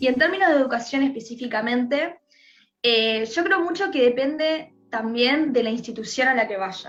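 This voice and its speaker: A high-pitched woman with a Uruguayan accent, lively intonation and a moderate pace, with music in the background. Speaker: filmmaker. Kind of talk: interview. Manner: halting.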